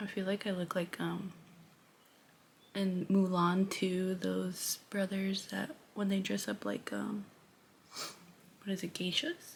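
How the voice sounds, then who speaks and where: A soft-spoken woman talks at a very slow pace in a somewhat breathy, medium-pitched voice, with monotone, flat intonation and long, frequent pauses. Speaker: beauty vlogger and hairstylist. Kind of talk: makeup tutorial. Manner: casual.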